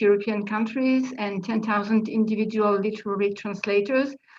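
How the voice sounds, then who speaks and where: A woman's fairly high voice at a moderate pace, with audible room echo. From France. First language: French. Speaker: literary translator, panel speaker. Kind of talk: conference presentation. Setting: video conference. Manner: hesitant, many fillers.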